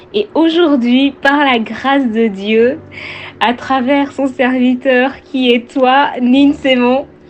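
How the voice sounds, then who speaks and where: A woman with a high voice speaks at a very slow pace, her loudness very even and her intonation fairly even. Noticeable background noise runs underneath. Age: 20s. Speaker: testimony giver. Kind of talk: testimony. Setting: recorded voice message. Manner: halting, many fillers.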